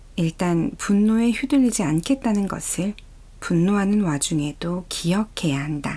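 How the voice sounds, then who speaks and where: A woman talks at a fairly slow pace and medium pitch, in a calm tone with lively intonation. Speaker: audiobook reader. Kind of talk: audiobook reading of a self-help book. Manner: calm, soft-spoken.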